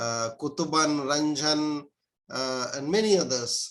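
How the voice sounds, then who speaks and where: A man talks with a Pakistani accent. His pace is very slow. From India. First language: Urdu. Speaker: professor. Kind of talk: interview. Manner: halting, many fillers.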